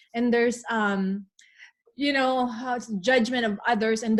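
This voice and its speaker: In a Filipino accent, a woman speaks with fairly even intonation. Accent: Filipino accent, still present. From Philippines. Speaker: wellness podcast co-host. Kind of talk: casual chat.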